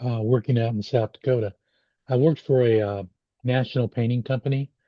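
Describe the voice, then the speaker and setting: Using fairly even intonation, a man speaks at a fairly quick pace with a medium pitch. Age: 60s. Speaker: podcast host, blind stroke survivor. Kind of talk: casual chat. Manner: halting.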